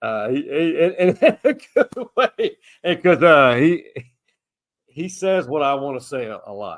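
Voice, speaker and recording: A man with a Texan accent and a high pitch talks at a fairly slow pace with long, frequent pauses, very wide pitch swings and big swings in loudness, in a dry, close sound with no echo. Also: very clean recording, silent background. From Texas, Austin. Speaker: podcast host, former sports media. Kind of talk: casual chat.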